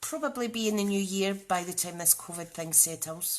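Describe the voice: Her intonation fairly even, a woman speaks with a Scottish accent.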